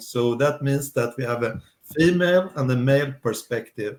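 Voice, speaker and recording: A man speaks with ordinary pitch variation. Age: 60s. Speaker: life coach. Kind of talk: interview. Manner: halting.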